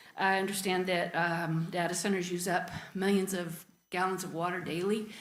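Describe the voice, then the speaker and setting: Audible room echo surrounds a woman with a medium pitch. She speaks at a moderate pace with fairly even intonation. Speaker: resident speaking at public comment. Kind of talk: public comment at council meeting. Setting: council chamber, public meeting. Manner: hesitant, many fillers.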